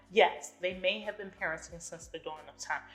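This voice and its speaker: Music plays in the background. A woman speaks at medium pitch. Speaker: podcast host. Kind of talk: casual monologue. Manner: fast.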